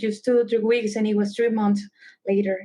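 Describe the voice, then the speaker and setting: A woman's fairly high voice with a Salvadoran accent. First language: Spanish. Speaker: travel concierge. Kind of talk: podcast interview.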